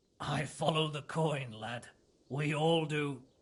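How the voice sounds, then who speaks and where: In a raspy, put-on character voice, a man speaks at a fairly slow pace and a fairly high pitch with fairly even intonation. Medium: video game. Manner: blunt, cynical, coarse.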